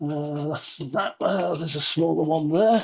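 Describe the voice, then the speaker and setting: The recording is very clean with a silent background. A man speaks at a high pitch and a fairly slow pace. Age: 70s. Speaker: YouTuber, product reviewer. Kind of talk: unboxing review. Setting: home studio.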